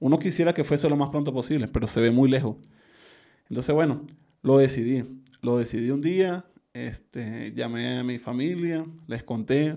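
With a Venezuelan accent and a dark, mellow tone, a man speaks at a medium pitch and moderate pace with ordinary pitch variation, leaving long, frequent pauses. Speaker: migrant. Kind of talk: interview about migration experience. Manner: halting, with many repetitions.

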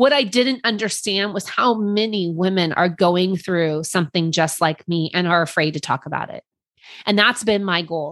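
A normal speaking voice: a woman speaks at a moderate pace with lively intonation against a quiet background. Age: 40s. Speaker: podcast host. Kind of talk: personal monologue.

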